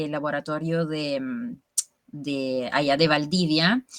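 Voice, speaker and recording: This woman's voice sits very deep and low in pitch, and she speaks at a very slow pace. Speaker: bioconstruction guild member presenting a seminar summary. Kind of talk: online talk to colleagues, casual presentation.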